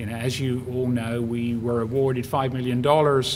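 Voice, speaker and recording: A man of medium pitch talks at a moderate pace, his intonation monotone and flat. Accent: British. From UK. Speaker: bioscience industry executive, commencement speaker. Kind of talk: graduation speech. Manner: halting, many fillers.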